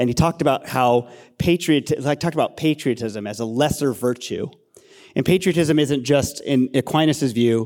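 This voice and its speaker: An ordinary speaking voice with an American accent, at a moderate pace with ordinary pitch variation, on a very clean recording with a silent background. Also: man. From Castro Valley, California (San Francisco Bay Area). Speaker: pastor. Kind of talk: panel discussion, casual.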